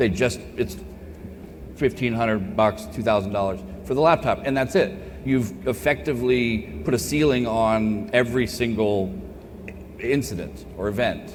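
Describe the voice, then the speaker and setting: Speaking with an American accent at a moderate pace, the voice has an animated tone and lively intonation, heard through audible room echo and noticeable background noise. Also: man, medium pitch for a man. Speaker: cybersecurity keynote speaker. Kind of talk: conference Q&A. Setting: stage with audience. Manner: loud.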